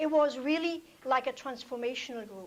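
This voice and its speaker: A woman with a non-native accent speaks at a high pitch with ordinary pitch variation. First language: not English. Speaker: toastmasters club member, healthcare provider. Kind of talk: prepared speech. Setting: club meeting with audience.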